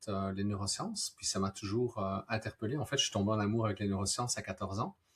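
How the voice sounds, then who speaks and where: Somewhat breathy and fairly low in pitch, a man talks in monotone, flat intonation with a slight Belgian accent. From Belgium. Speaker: neuroscientist. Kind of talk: live-stream interview. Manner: hesitant, many fillers.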